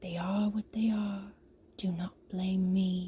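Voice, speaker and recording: A woman's put-on character voice, fairly slow and monotone-flat at medium pitch. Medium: read story.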